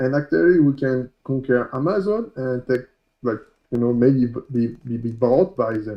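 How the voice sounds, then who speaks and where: With a French accent, a man speaks at a moderate pace. His pitch is medium, with ordinary variation. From France. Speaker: coding instructor. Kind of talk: tutorial. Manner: loud; halting.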